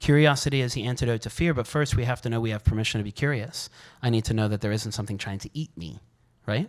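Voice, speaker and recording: On a very clean recording with a silent background, a man at medium pitch talks at a very fast pace in an animated tone. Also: ordinary pitch variation. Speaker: functional neurologist, speaker. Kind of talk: workshop talk.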